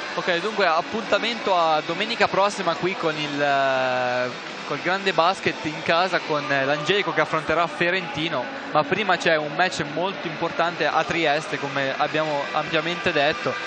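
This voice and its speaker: Against noticeable background noise, a man with a fairly high pitch talks at a moderate pace with ordinary pitch variation. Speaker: basketball play-by-play commentator. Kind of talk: live commentary.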